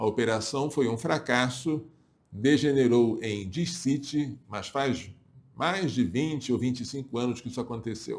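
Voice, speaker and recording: A man's medium-pitched voice moves at a fairly slow pace with ordinary pitch variation. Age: 60s. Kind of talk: religious talk to viewers. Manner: halting.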